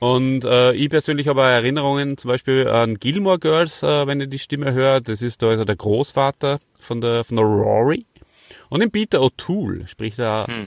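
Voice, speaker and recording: In a dry, close sound with no echo and a quiet background, a man speaks at a moderate pace and medium pitch with ordinary pitch variation. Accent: Austrian. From Austria. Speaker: podcast host. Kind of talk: casual chat.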